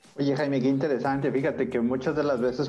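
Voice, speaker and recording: The speaker is a man with a Mexican accent. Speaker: podcast host. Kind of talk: interview. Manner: halting, many fillers.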